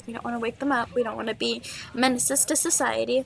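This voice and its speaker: A woman speaks quietly. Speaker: gaming YouTuber. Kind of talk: casual podcast-style monologue. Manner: quiet, holding voice down.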